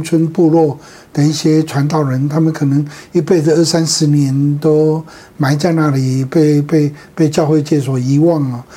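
At a moderate pace, a man speaks in a fairly high pitch with a dark, mellow tone. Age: 70s. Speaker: pastor. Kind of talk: interview. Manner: halting.

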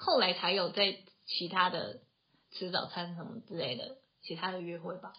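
Speaking at a moderate pace with a Taiwanese accent, a woman uses ordinary pitch variation, big swings in loudness, and long, frequent pauses. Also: medium pitch for a woman. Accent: Taiwanese Mandarin. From Taiwan, Taoyuan. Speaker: podcast co-host, tech company office worker. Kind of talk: casual chat.

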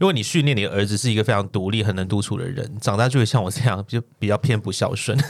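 A man talks at a very fast pace with hardly any pauses, using a fairly low pitch and ordinary pitch variation. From Hong Kong. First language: Cantonese (speaking Chinese). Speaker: podcast co-host. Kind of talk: casual chat.

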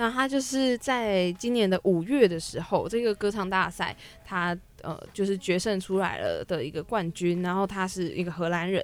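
Her pace is moderate and her pitch medium. This woman shows ordinary pitch variation. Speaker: campus radio host. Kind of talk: radio talk show. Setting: radio studio. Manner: stumbling over words.

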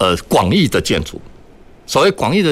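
With very wide pitch swings, a man speaks in vocal fry. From Taiwan, Kaohsiung. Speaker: architect, green energy industry association chairman. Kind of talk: radio panel discussion. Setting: radio studio, live broadcast.

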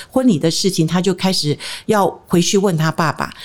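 Speaking at a fairly quick pace, a woman has a medium pitch and a plain, everyday voice. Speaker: marriage counselor. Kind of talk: interview.

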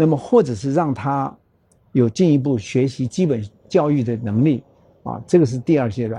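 At a moderate pace, the somewhat breathy voice has a dark, mellow tone and ordinary pitch variation. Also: man, medium pitch for a man. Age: 70s. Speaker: nonprofit foundation chairman, former hotel executive. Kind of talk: interview conversation.

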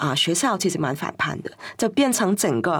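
With vocal fry and a fairly low pitch, a woman speaks at a fairly quick pace, her pitch swinging very widely. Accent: Cantonese. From Hong Kong. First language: Cantonese (speaking Chinese). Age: 50s. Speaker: writer and queer cultural scholar. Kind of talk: interview conversation.

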